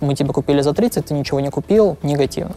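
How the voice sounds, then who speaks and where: There is noticeable background noise as a man speaks in a fairly high pitch. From Ukraine (Lviv). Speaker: product manager and startup co-founder. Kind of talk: interview. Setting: office. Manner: halting.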